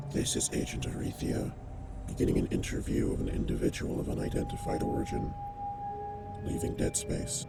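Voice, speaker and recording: A man talks at a fairly quick pace in a put-on character voice over loud background noise. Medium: read story. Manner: clipped, cold, commanding.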